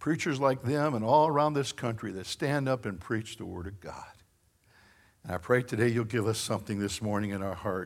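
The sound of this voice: With a Northern American accent, a man talks at a fairly low pitch, showing vocal fry and ordinary pitch variation.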